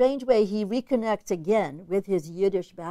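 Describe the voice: The pitch varies in an ordinary way. The delivery is plain reading aloud.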